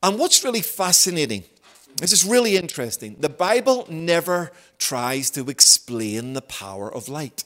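A man with a Belfast accent speaks with very wide swings in pitch and big swings in loudness. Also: moderate pace. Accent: Belfast Northern Irish. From Northern Ireland, Belfast. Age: 50s. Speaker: visiting preacher. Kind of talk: sermon.

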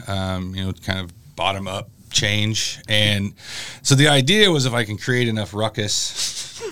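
With noticeable background noise behind him, a man speaks fairly slowly at a fairly low pitch with ordinary pitch variation. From US Midwest (Illinois). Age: 40s. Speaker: college professor. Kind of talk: interview. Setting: studio. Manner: halting, many fillers.

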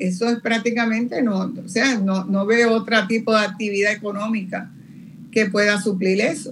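Through noticeable background noise, a woman talks at a moderate pace, her fairly high voice keeping a fairly even intonation. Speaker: demographer, retired professor. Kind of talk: interview.

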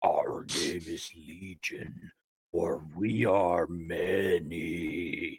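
A put-on character voice from a man, raspy and very deep and low, at a very slow pace. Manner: ominous.

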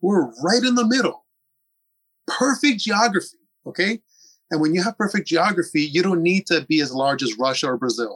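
With very wide pitch swings, a man with a high pitch speaks at a moderate pace in a dry, close sound with no echo. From US, Puerto Rican diaspora. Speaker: author and pro-sovereignty activist. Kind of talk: interview.

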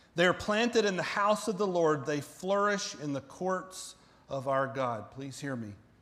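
Audible room echo surrounds a man speaking with an American accent at a high pitch. He keeps a moderate pace with lively intonation. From US South, central Florida. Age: 40s. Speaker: pastor. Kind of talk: sermon.

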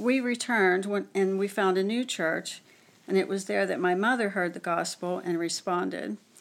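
A woman's voice amid noticeable background noise. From western Pennsylvania. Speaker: church marriage mentor. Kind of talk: testimony.

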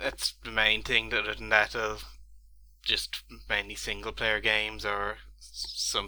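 A man with an Irish accent, speaking at a fairly slow pace. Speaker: gamer and scuba diver. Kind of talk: casual chat. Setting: video call.

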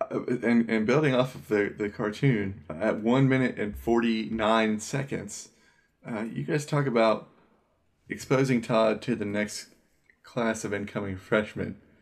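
A man with an unremarkable speaking voice talks at a fairly slow pace, his medium pitch varying in an ordinary way. The recording is very clean, with a silent background. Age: 30s. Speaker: podcast co-host. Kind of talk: casual chat.

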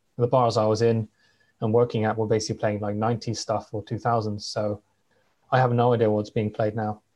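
A man with a West Country accent talks fairly quickly in a fairly low pitch, his intonation monotone and flat. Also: quiet background. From southwest England. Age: 20s. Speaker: podcast host, guest. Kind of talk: casual chat.

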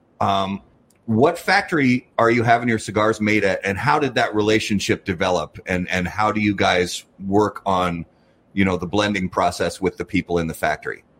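A man with an American accent talks at a moderate pace and a fairly low pitch. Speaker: podcast host. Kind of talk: casual chat. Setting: studio. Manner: halting.

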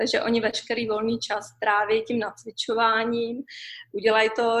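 A woman with a fairly high pitch and an ordinary speaking voice. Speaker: expat mother. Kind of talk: interview.

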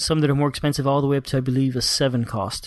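A man is speaking. The background is quiet. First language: Spanish. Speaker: board game podcast host. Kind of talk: casual chat.

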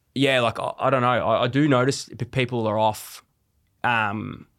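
A man with an Australian accent is heard over a silent background in a very clean recording. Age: 30s. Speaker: father of two talking about mental health. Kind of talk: casual chat. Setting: studio.

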